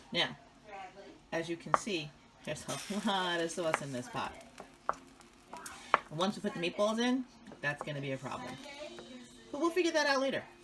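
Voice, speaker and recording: A woman in an American accent, very wide pitch swings, long and frequent pauses, noticeable background noise. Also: medium pitch for a woman, fairly quick pace. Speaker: home cook showing a family recipe. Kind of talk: cooking tutorial. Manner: casual, chatty.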